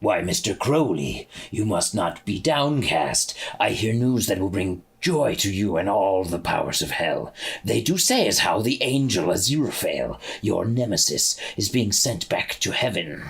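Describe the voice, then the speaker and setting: In a cartoonish character voice, a man speaks at a moderate pace and a medium pitch. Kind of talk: period melodrama.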